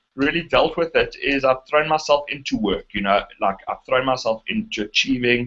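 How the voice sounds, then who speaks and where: A man with a South African accent, medium in pitch, with very wide pitch swings. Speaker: internet marketer. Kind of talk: interview conversation. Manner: halting, many fillers and restarts.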